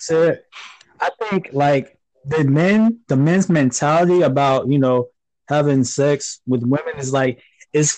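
In an American accent, a man talks in an unremarkable speaking voice with ordinary pitch variation, the sound dry and close with no echo. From Florida, Panama City. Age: 20s. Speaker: military veteran. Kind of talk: casual chat.

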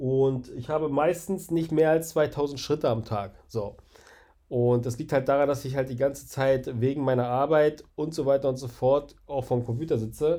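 A man's dark, mellow tone sits at a fairly high pitch. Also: fairly even intonation, moderate pace. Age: 30s. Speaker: podcaster. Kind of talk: casual monologue.

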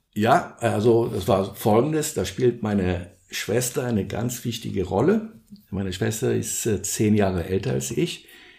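This man speaks at a fairly slow pace with lively intonation. His tone is dark and mellow, with vocal fry. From Brazil, São Paulo. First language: Portuguese (speaking German). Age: 60s. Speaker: social entrepreneur, surf organisation co-founder. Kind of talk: interview, personal storytelling. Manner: hesitant, many fillers.

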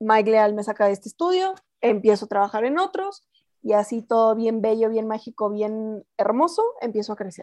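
A woman with a plain, everyday voice, fairly high in pitch, with ordinary pitch variation at a moderate pace. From Mexico, Chihuahua. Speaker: voice actress. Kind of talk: casual interview.

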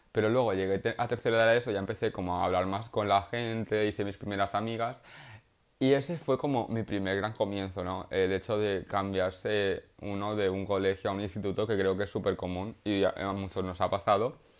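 With an unremarkable speaking voice, a man talks at a fairly quick pace in a fairly low pitch and fairly even intonation, recorded very cleanly over a silent background. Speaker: podcaster and art student. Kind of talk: casual monologue.

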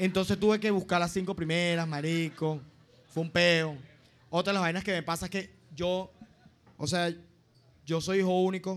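A man's high-pitched voice at a moderate pace, fairly even in intonation, with long, frequent pauses. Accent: Venezuelan. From Venezuela, Los Llanos. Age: 20s. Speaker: comedian. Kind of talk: stand-up. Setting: stage with audience.

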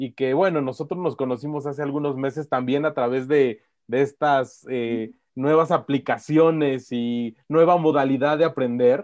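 The speaker has a plain, everyday voice. Intonation is fairly even and the pace fairly slow. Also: man, fairly high pitch for a man. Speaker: podcast host. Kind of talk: interview.

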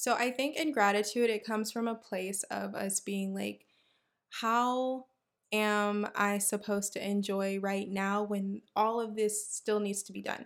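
A plain, everyday voice speaks at a fairly slow pace with fairly even intonation, in a very clean recording with a silent background. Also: woman, medium pitch for a woman. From Houston, Texas. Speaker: podcast host, dentist. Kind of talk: solo podcast monologue.

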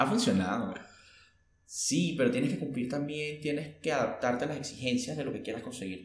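A man with a Venezuelan accent speaks at a moderate pace with lively intonation, amid noticeable background noise and audible room echo. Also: medium pitch for a man. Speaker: podcast co-host. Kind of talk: casual chat.

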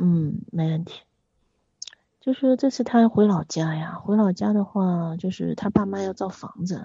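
A woman speaks at a fairly slow pace, her voice somewhat breathy. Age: 40s. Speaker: caller seeking relationship advice. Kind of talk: phone-in confession. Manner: halting.

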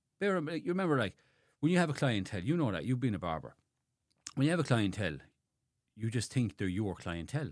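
Using a very fast pace broken by long, frequent pauses, a man with a Limerick accent speaks at a medium pitch with very wide pitch swings and vocal fry. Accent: Irish (Limerick). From Ireland, Limerick. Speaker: barber and barbershop owner. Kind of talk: casual interview chat.

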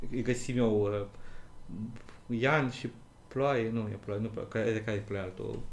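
The voice belongs to a man with a medium pitch. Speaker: podcast co-host. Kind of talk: casual chat.

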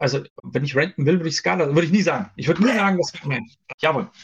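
A man with lively intonation. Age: 40s. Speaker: software developer. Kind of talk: casual interview. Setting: live stream.

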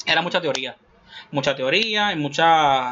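The intonation is lively. Delivery moves at a moderate pace. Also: man. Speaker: podcast host. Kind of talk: casual chat.

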